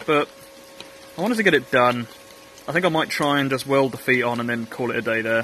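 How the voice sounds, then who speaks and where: Speaking very fast with an English accent, a man uses ordinary pitch variation and long, frequent pauses, with a dry sound, no echo and light background noise. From England. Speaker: metalwork YouTuber. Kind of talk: workshop vlog narration. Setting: outdoor workshop. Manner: casual, hesitant with fillers. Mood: light, self-deprecating. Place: garden. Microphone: phone near.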